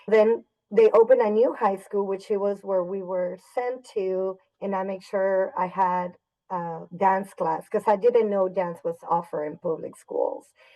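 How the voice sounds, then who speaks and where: With a Spanish accent, a woman speaks at a fairly slow pace and a medium pitch, her intonation fairly even. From Mexico (Torreon, Coahuila), moved to Dallas at 12. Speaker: high school dance teacher. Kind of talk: podcast interview.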